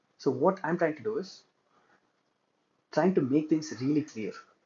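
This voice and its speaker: A man with a somewhat breathy voice speaks at a moderate pace with ordinary pitch variation. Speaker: student instructor teaching web development. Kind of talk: tutorial. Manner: frequent filler hesitations.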